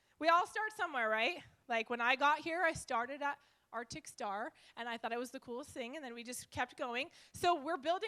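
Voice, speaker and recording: A raised, projected voice at a fairly quick pace, with lively intonation, an animated tone and a bright, sharp tone. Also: woman. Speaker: network marketing leader. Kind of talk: live seminar presentation. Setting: stage with live audience. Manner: loud.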